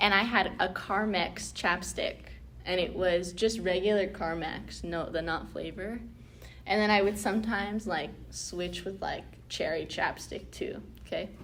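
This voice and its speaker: A woman talks at a fairly slow pace. Room echo is audible. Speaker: round table discussion host. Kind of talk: casual chat. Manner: loud; animated.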